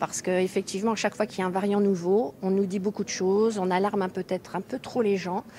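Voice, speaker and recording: Very fast speech from a woman with hardly any pauses, medium pitch, a dark, mellow tone, and monotone, flat intonation. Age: 60s. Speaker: member of the public. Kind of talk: recorded question.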